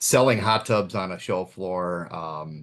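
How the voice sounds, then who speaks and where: A man with a Minnesotan accent speaks in a very deep, low pitch. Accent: Minnesota. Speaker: pool automation specialist. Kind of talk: webinar presentation. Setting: online webinar.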